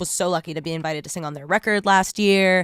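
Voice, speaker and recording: A woman with a Californian accent talks in an animated tone at medium pitch. The sound is dry and close with no echo, in a very clean recording with a silent background. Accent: General American (Californian). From Southern California. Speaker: rock band singer. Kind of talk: interview chat. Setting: studio. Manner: casual, animated.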